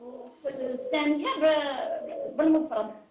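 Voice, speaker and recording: A woman's high-pitched voice comes through with audible room echo and noticeable background noise. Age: 70s. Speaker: caller. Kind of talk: phone-in question.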